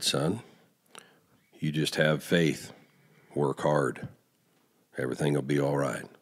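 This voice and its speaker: Booming in a put-on character voice, the speaker moves at a fairly slow pace with long, frequent pauses. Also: man, very deep, low pitch for a man. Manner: reassuring.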